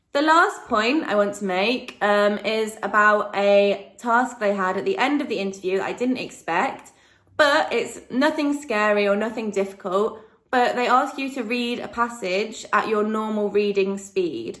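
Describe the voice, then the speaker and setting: Audible room echo surrounds a woman with a fairly high pitch. She speaks at a fairly slow pace. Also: ordinary pitch variation. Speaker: vlogger and online English tutor. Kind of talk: casual vlog talk. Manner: hesitant, many ums.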